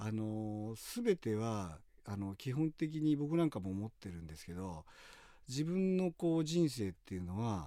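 A man with a dark, mellow tone and fairly low pitch speaks at a fairly slow pace. His pitch swings very widely and his loudness shifts a lot, on a very clean recording with a silent background. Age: 50s. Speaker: professional skydiver. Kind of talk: interview.

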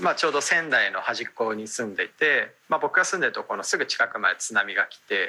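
A man speaks at a fairly quick pace with hardly any pauses and big swings in loudness. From Japan, Aomori (Hirosaki). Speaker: startup founder and CEO. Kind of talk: radio interview.

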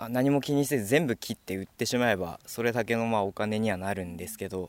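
A man with a plain, everyday voice talks at a fairly quick pace and a fairly low pitch. His pitch varies in an ordinary way, and the sound is dry and close, with no echo. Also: very clean recording, silent background. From Minamisanriku, Miyagi (Tohoku, Japan). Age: 20s. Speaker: young forestry worker. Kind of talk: interview.

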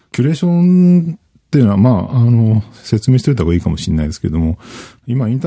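Speaking at a very fast pace, a man has a medium pitch and a dark, mellow tone. His voice is somewhat breathy, with very wide pitch swings. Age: 40s. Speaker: IT journalist. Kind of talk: interview. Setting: studio.

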